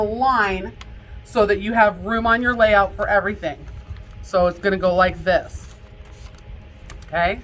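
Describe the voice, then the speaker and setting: Room echo is audible as a woman speaks at a moderate pace with ordinary pitch variation. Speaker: casino dealer instructor. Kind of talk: lecture.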